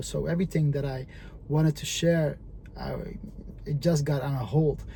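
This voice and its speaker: With a Dutch accent, a man speaks at a fairly high pitch. His intonation stays fairly even. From Netherlands, Moroccan family. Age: 30s. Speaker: entrepreneur. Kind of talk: vlog monologue. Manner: halting, many fillers.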